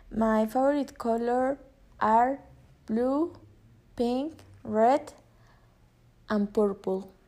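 With a Spanish accent, a woman talks at a very slow pace. Her voice is fairly high in pitch, with a dark, mellow tone. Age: 20s. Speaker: university student. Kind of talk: prepared self-introduction for a class. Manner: halting.

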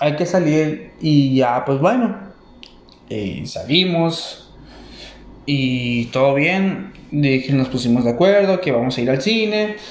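Audible room echo surrounds a man's fairly high voice. He speaks at a very slow pace with lively intonation. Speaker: stand-up comedian. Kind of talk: stand-up. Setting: stage with audience. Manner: halting.

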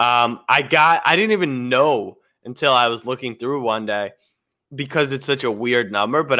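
This is a normal speaking voice with an American accent. The pitch varies in an ordinary way. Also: man. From Maryland, US. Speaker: livestream co-host. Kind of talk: casual livestream chat. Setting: online livestream.

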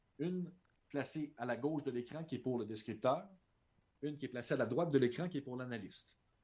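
With a Quebec accent, a man speaks at a medium pitch with ordinary pitch variation, keeping a fairly quick pace broken by long, frequent pauses. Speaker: translator and sports broadcaster. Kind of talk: casual interview.

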